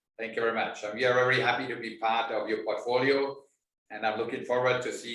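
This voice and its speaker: This man has a bright, sharp tone and a monotone, flat intonation. Audible room echo surrounds his voice. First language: German. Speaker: winemaker. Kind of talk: interview. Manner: halting.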